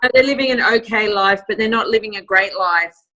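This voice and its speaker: A woman with an Australian accent talks at medium pitch with fairly even intonation. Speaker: network marketing team leader. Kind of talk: closing remarks on a group call. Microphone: phone instead of computer.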